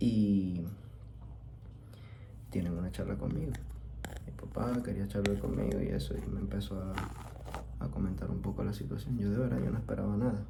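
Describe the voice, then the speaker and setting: Through noticeable background noise, a man with a very deep, low pitch and a relaxed tone talks at a moderate pace, making very wide pitch swings and long, frequent pauses. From Venezuela. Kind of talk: ASMR storytelling, soft-spoken personal story. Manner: soft-spoken, relaxed.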